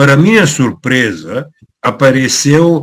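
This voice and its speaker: A man with a Bulgarian accent speaks at a very slow pace and a fairly high pitch. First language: Bulgarian (speaking Portuguese). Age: 70s. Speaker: author. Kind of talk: talk. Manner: halting, many fillers.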